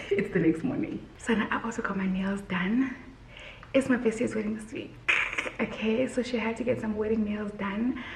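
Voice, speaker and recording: Whispering from a woman, moderately paced, over noticeable background noise. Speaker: lifestyle vlogger. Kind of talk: casual vlog haul. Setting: at home.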